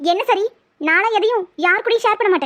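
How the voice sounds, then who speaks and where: A woman does a squeaky, cartoonish character voice at an extremely high pitch and fairly quick pace, with a dry, close sound and no echo. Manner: sulky, pouty.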